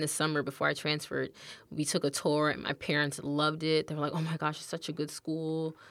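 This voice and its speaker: A woman speaks with an American accent in a very deep, low voice. The recording is very clean, with a silent background. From Texas, Austin. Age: 20s. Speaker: college student and YouTuber. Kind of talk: casual interview.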